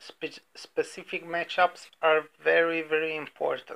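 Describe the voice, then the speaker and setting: High-pitched for a man, this speaker with an Eastern European accent talks at a fairly slow pace in a monotone, flat delivery with a bright, sharp tone. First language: non-native English speaker. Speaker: sports betting podcaster. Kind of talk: casual podcast monologue. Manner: hesitant, many fillers.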